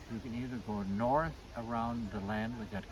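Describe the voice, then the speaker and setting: Noticeable background noise and audible room echo surround a man's voice. He speaks fairly slowly at a medium pitch. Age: 80s+. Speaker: trail volunteer and interviewer. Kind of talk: casual interview.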